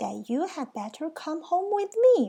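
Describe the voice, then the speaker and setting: A woman puts on a character voice at an extremely high pitch, swinging very widely up and down. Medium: read story. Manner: warm, cheerful.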